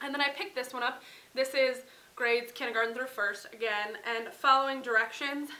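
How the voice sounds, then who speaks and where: A woman with an American accent uses a raised, projected voice, speaking at a fairly quick pace with a high pitch. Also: ordinary pitch variation. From US Midwest, central Wisconsin. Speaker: parenting vlogger. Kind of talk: casual haul vlog.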